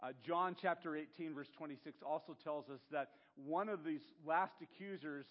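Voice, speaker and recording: A man speaks at a moderate pace in a normal speaking voice, his pitch fairly high and his pitch variation ordinary. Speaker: pastor. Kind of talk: sermon.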